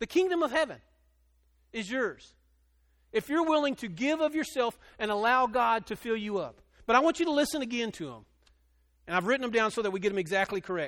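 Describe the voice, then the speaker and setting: A loud, animated man with an extremely high pitch and lively intonation, racing at a very fast pace between long, frequent pauses, on a very clean recording with a silent background. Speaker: pastor. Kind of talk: sermon. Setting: church with congregation.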